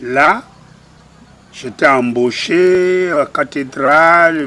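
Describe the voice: A man's bright, sharp tone with ordinary pitch variation.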